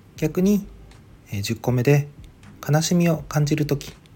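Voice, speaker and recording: A man's fairly high, somewhat breathy voice with lively intonation, a slight Okinawan accent and a fairly slow pace. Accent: slight Okinawan accent, by his own account. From Okinawa, Ishigaki Island. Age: 30s. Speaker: podcaster. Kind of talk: solo monologue podcast. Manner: halting, many fillers.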